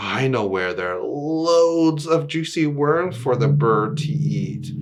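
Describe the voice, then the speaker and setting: A man uses a put-on character voice. It sits fairly high in pitch and moves at a fairly slow pace. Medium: read story.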